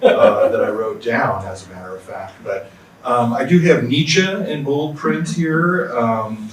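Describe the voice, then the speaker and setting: A man's speech carries audible room echo alongside noticeable background noise. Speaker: philosophy professor. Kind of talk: panel discussion talk. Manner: halting.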